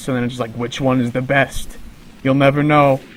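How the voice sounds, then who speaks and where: Noticeable background noise sits behind a man's medium-pitched voice. He speaks at a moderate pace in a monotone, flat way. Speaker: gaming commentator. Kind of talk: live gameplay commentary. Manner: rambling, many filler words.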